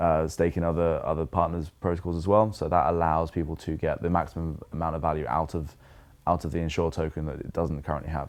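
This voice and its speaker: A very fast pace in a British accent. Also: man. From England. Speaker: crypto insurance company representative. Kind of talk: podcast interview. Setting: at a conference. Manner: laid back.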